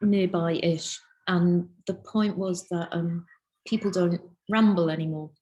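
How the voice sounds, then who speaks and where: A woman's medium-pitched, somewhat breathy voice, dark and mellow in tone, with fairly even intonation at a very slow pace. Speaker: illustrator, lecturer and researcher. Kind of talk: interview answer. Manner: casual, chatty.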